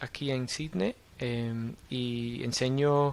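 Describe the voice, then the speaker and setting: An Australian accent marks this man's medium-pitched voice, which shows ordinary pitch variation. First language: English (speaking Spanish). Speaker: university lecturer in public policy. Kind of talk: podcast interview. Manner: halting, many fillers.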